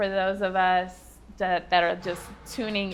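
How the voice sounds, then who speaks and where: A woman's voice at a medium pitch. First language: Farsi. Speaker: podcast co-host. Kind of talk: casual chat.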